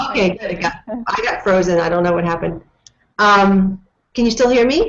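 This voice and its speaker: At a fairly quick pace, a woman with a normal speaking voice talks at medium pitch, her pitch varying in an ordinary way. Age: 40s. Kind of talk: casual interview. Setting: video call.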